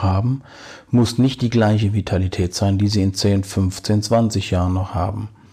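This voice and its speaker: In a very clean recording with a silent background, a man speaks at a moderate pace in a dark, mellow, somewhat breathy tone, with very even loudness and fairly even intonation. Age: 50s. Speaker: podcast host, bathroom renovation advisor. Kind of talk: informational monologue addressing listeners. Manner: formal.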